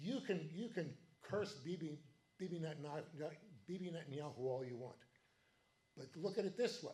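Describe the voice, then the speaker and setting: A man's high, dark and mellow voice, fairly quick and lively in intonation, broken by long, frequent pauses. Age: 70s. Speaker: political party meeting chair. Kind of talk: meeting speech. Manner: animated.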